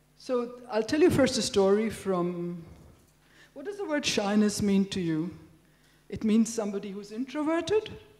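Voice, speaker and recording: Lively intonation from a woman at a medium pitch and a fairly slow pace, with audible room echo. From India. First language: Telugu. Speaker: professor. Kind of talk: lecture. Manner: conversational.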